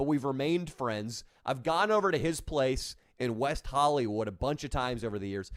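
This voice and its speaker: A man with an American accent speaks at a fairly quick pace, his pitch medium and his intonation lively. The recording is very clean, with a silent background. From Northern California (Orangevale, near Sacramento). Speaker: YouTuber and comedian. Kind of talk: casual live stream chat.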